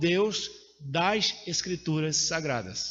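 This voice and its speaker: There is audible room echo. It carries the voice of a man. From Brazil, Pernambuco (Caruaru). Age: 60s. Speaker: preacher. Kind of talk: sermon.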